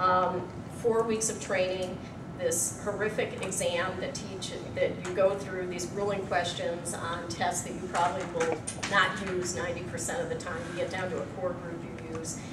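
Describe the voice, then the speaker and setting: A woman's fairly slow speech against loud background noise. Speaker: presenter. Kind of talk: lecture. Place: meeting room. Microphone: camera far.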